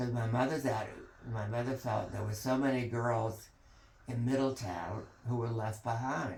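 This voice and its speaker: A man talks at a moderate pace in a medium pitch with fairly even intonation. The room echo is audible and the background noise is noticeable. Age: 80s+. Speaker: family elder telling family history. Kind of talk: oral history interview. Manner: halting.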